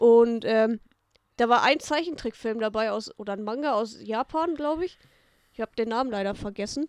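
An ordinary speaking voice at a fairly quick pace, with ordinary pitch variation, recorded very cleanly against a silent background in a dry, close sound with no echo. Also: woman. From Münsterland / Ostwestfalen-Lippe, Germany. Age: 20s. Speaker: comedian. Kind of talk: casual chat.

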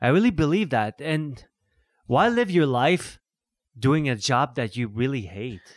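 A normal speaking voice with lively intonation at a fairly slow pace, on a very clean recording with a silent background. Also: man, medium pitch for a man. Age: 60s. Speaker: musician and photographer. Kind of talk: casual chat. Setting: studio.

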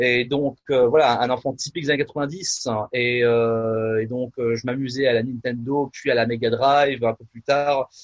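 Monotone and flat, a man speaks at a fairly slow pace. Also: medium pitch for a man. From France, Nièvre. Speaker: pastor and musician. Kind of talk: casual interview. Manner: halting, many fillers.

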